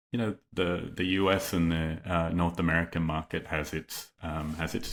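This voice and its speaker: An Australian man talks in a very deep, low voice. His intonation stays monotone and flat. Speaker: company executive. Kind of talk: podcast interview. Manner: hesitant, many fillers.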